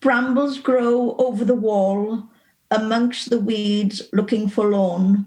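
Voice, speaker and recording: A woman talks very slowly in a dark, mellow, somewhat breathy voice with fairly even intonation. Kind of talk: poetry reading.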